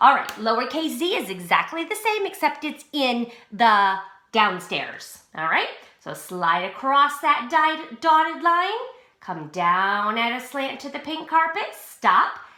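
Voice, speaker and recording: In a room with audible room echo, a woman uses a raised, projected voice with a high pitch, a bright, sharp tone, very wide pitch swings, big swings in loudness and a fairly slow pace. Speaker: pre-K teacher. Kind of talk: tutorial. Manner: slow, clear instructional.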